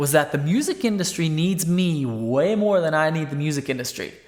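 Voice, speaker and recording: Someone with an American accent speaks at a fairly quick pace. Noticeable background noise runs underneath. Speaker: country songwriter. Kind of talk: casual vlog monologue. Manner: conversational, filler-heavy.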